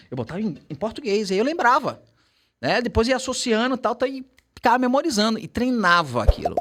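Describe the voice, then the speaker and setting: A man speaks in an extremely high pitch with an animated tone. His intonation is lively and his pace fairly quick. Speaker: English teacher. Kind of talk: casual chat.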